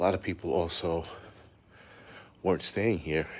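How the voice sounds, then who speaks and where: A man talks quietly in a very deep, low voice. His intonation stays fairly even. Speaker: prepper channel host doing live stream walk. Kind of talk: live stream walking tour. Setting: outdoors, walking streets at night. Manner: talking low, quiet.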